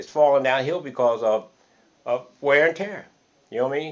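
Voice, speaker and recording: A man speaks at a very fast pace. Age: 60s. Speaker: interviewee, cleaner. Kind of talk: casual chat. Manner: repetitive, halting with restarts.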